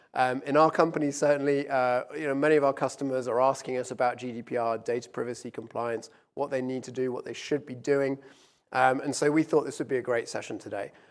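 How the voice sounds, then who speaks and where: In a very clean recording with a silent background, a man with a British accent speaks at a very fast pace in a flat monotone, with big swings in loudness. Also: medium pitch for a man. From UK. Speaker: business executive. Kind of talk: conference presentation. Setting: stage with live audience and stream.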